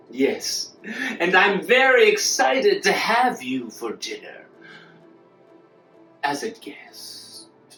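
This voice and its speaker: A put-on character voice moves at a very slow pace. Long, frequent pauses break it up over faint music in the background. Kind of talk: audio drama dialogue.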